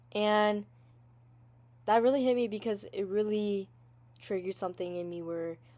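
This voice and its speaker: A woman with a Southeast Asian accent at a moderate pace. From US Midwest, Wisconsin, Hmong family. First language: Hmong. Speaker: podcaster. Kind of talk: personal monologue. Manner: halting.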